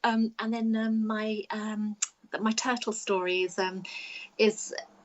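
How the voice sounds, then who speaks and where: With an English accent, a woman speaks fairly slowly in a fairly high voice. Her intonation is flat and monotone. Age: 50s. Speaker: children's author. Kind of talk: casual chat. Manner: halting.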